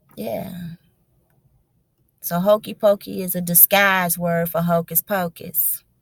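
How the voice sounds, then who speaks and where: With a dry, close sound with no echo, a woman speaks very slowly in a fairly low, somewhat breathy voice, pausing long and often. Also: very clean recording, silent background. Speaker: religious video blogger. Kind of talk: casual monologue. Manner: animated.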